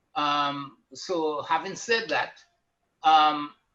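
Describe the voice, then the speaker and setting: Here is a man with a Caribbean accent. His voice sits fairly high, with a bright, sharp tone. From Trinidad and Tobago. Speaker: retired banker and activist. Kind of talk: panel discussion.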